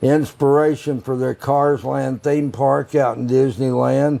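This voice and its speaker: A man with an American accent has a dark, mellow tone, a fairly high pitch and fairly even intonation. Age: 80s+. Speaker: roadside attraction owner. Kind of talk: casual chat. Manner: halting, many fillers.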